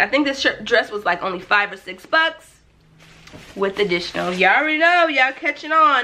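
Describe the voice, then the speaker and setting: A bright, sharp tone with very wide pitch swings, at a moderate pace. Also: woman. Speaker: lifestyle vlogger. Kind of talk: shopping haul video. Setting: home video recording. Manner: animated. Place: home room.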